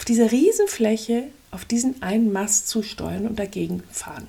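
Her pitch is fairly high, with ordinary variation. The woman speaks at a very slow pace. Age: 50s. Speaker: life coach podcaster. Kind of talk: motivational monologue. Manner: energetic.

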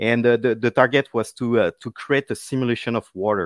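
In a very clean recording with a silent background, a man speaks at a medium pitch and moderate pace with fairly even intonation, the sound dry and close with no echo. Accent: French. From France (Paris). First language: French. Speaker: tech solutions architect. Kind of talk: interview. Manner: halting.

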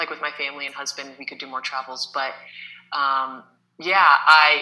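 A woman's very deep, low voice with an American accent. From Kansas, US Midwest. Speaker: high school math teacher. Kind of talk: casual interview.

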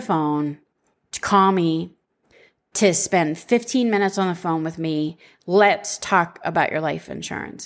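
On a very clean recording with a silent background, a woman with a plain, everyday voice speaks at a fairly slow pace with medium pitch and ordinary pitch variation. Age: 40s. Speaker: podcast host, life insurance agent. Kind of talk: solo podcast monologue.

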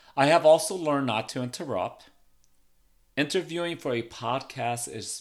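On a very clean recording with a silent background, a man speaks. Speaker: podcast host. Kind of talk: solo podcast monologue. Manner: uses filler ums.

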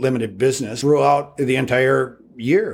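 A man with an Upper Midwest accent speaks at medium pitch. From North Dakota, Devils Lake. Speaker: steakhouse owner. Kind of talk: interview. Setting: construction site.

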